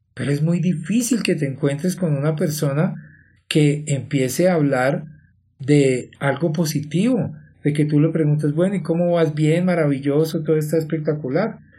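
In a room with audible echo, a man with a dark, mellow tone and fairly high pitch speaks at a moderate pace with fairly even intonation. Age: 50s. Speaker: life coach and podcast host. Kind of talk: motivational monologue.

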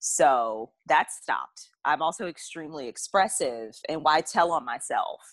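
A woman with an American accent, very deep, low pitch, lively intonation and a fairly slow pace, in a dry, close sound with no echo. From US South. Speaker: podcast co-host. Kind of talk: casual chat.

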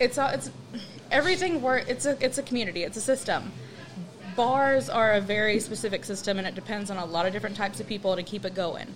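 A woman with an American accent speaks very fast at a fairly high pitch, with lively intonation. Noticeable background noise is present. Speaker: guest. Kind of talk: casual chat.

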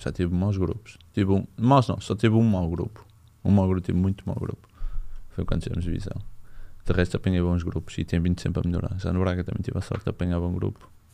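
Very fast speech with fairly even intonation. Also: man, very deep, low pitch for a man. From northern Portugal, Barcelos. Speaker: professional footballer. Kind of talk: casual chat.

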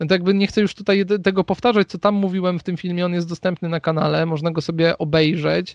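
A man talks at a very fast pace with hardly any pauses, his high-pitched voice monotone and flat. The sound is dry and close with no echo, over a quiet background. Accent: Polish. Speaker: YouTube watch reviewer and front-end developer. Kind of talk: casual interview conversation. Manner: hesitant, repeats words, filler words.

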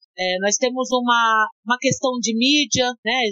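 A woman with ordinary pitch variation, music playing in the background. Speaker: rapper and art educator. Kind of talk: interview.

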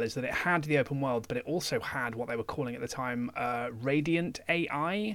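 A man with a plain, everyday voice, a fairly high pitch, ordinary pitch variation and a moderate pace. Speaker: podcast co-host. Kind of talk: casual chat.

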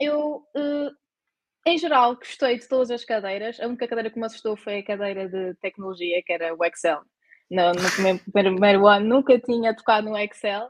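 A woman talks at a fairly high pitch with ordinary pitch variation. Her loudness swings widely. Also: moderate pace. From Azores, Terceira island. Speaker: university student. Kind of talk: casual chat.

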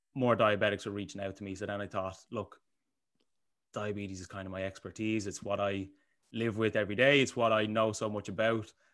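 Over a very clean recording with a silent background, a man speaks at a fairly quick pace in a fairly low pitch, his intonation monotone and flat while his loudness swings widely. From Ireland, Bray (Co. Wicklow). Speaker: online fitness coach. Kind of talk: casual chat.

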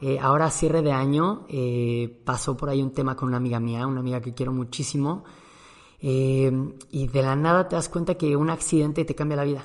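This man has a Mexican accent. His pitch sits fairly high. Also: fairly even intonation, fairly quick pace. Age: 30s. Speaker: podcast host. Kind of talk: casual monologue.

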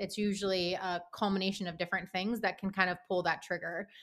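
Woman at a medium pitch, very fast, with hardly any pauses, on a very clean recording with a silent background. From Pittsburgh, US. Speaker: therapist. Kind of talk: interview.

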